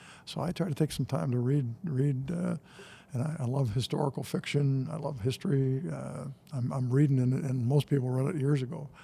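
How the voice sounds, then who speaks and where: Talking at a fairly quick pace with an American accent, a man sounds somewhat breathy, with a dark, mellow tone and ordinary pitch variation. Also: medium pitch for a man. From Michigan, US Midwest. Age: 70s. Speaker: retired nonprofit CEO and college co-president. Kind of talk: podcast interview. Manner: casual, halting with many repetitions.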